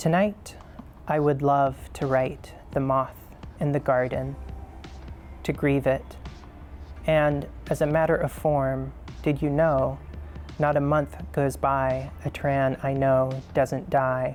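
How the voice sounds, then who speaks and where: Very slow speech with long, frequent pauses over music in the background. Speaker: poet. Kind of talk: poetry reading.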